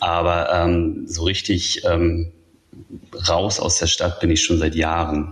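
A man speaks at a very slow pace, his pitch very deep and low. His intonation is monotone and flat, with noticeable background noise behind him. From northern Germany. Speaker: tech journalist. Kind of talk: interview.

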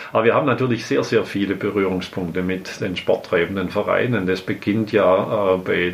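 The intonation of this man stays fairly even. Noticeable background noise runs underneath. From Swabian Alb, Baden-Württemberg, Germany. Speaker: mayor. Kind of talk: interview.

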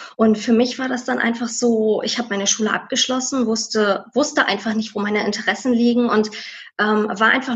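Her voice unremarkable, a woman speaks at a moderate pace in a fairly high pitch with fairly even intonation. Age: 30s. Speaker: former tax clerk. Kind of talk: interview.

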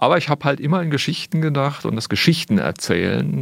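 Fairly quick and marked by vocal fry, a man's voice makes very wide pitch swings. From Germany, Sinsheim (Baden-Württemberg). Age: 40s. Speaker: wildlife artist and filmmaker. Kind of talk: radio interview.

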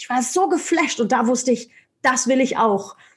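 Over noticeable background noise, a woman speaks in an energetic tone with a high pitch. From Germany. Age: 40s. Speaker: motivational speaker and sales trainer. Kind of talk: interview.

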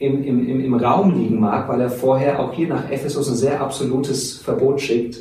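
Audible room echo and noticeable background noise surround a man speaking at a medium pitch and moderate pace. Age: 40s. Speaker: theology teacher. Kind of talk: interview.

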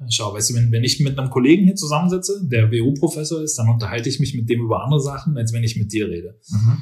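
At a very fast pace with hardly any pauses, a man speaks at medium pitch, somewhat breathy, with lively intonation. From Berlin, Germany. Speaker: business professor. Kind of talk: interview. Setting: office.

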